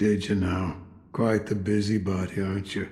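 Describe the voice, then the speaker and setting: Here a man puts on a character voice at a fairly low pitch. His intonation is monotone and flat, at a moderate pace. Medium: video game. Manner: slow, reflective.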